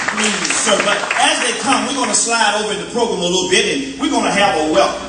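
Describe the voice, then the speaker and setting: Very fast speech with ordinary pitch variation, audible room echo, and crowd noise in the background. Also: man. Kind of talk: church program announcement. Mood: warm, joking, upbeat. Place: church.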